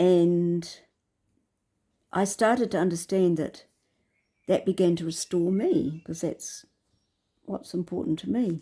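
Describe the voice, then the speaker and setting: A woman with a New Zealand accent speaks fairly slowly, taking long, frequent pauses. Her voice is fairly low, with a dark, mellow tone and ordinary pitch variation. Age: 70s. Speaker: vlogger. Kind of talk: personal reflective monologue. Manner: halting.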